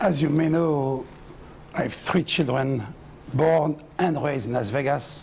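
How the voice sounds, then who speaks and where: A man speaks with a non-native accent and ordinary pitch variation. His voice is somewhat breathy. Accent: foreign. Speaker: mayoral candidate. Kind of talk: political debate.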